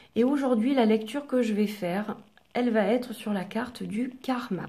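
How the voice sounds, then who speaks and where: A soft-spoken woman's voice at a medium pitch, with a fairly slow pace. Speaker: oracle card reader. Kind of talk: relaxation guidance talk to camera.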